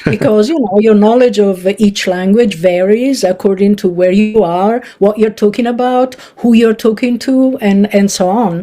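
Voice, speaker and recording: A woman speaks with an Italian accent at a moderate pace. Her loudness stays very even over noticeable background noise. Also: fairly high pitch for a woman, ordinary pitch variation. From northern Italy. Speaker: linguistics professor. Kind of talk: interview.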